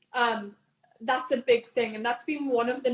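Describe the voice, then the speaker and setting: A woman with a Newcastle accent speaks at a fairly high pitch. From northern England, Newcastle. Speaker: entrepreneur, business founder. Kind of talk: interview.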